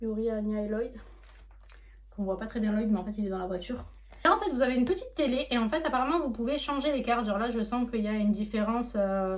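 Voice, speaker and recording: Against audible room echo, a woman talks at a very fast pace with ordinary pitch variation. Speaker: manga collector YouTuber. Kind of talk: casual unboxing vlog. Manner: hesitant, many fillers.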